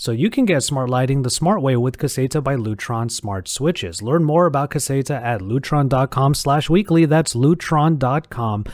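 This man speaks at a moderate pace with lively intonation, his pitch medium and a normal speaking voice. The recording is very clean, with a silent background. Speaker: video host. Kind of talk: casual chat. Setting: studio.

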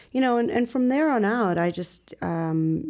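A woman with a Chicago accent and a dark, mellow tone speaks at a moderate pace on a very clean recording with a silent background. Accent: Chicago American English. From Chicago suburbs, US Midwest. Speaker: real estate broker. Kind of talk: interview.

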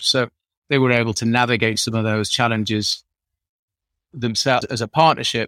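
A man's medium-pitched voice in a Yorkshire accent, fairly quick and monotone with flat intonation, on a very clean recording with a silent background. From northern England, Sheffield. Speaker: drinks industry entrepreneur. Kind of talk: interview.

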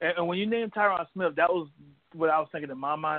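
The speaker is a man with a normal speaking voice, a fairly high pitch, and ordinary pitch variation. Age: 20s. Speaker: sports podcast host. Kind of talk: casual interview.

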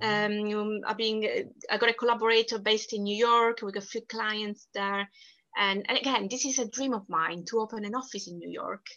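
Against a quiet background, a woman with a strong Italian accent speaks at a moderate pace in a fairly high, bright, sharp voice. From southern Italy. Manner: talkative, animated.

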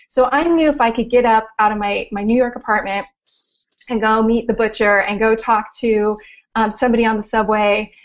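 In a Californian accent, a woman speaks at fairly high pitch with fairly even intonation. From Southern California. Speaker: life coach. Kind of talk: interview.

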